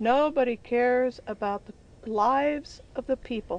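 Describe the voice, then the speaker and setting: Here is a woman with a high-pitched voice. Her intonation stays fairly even. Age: 60s. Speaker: rural resident interviewee. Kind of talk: documentary interview.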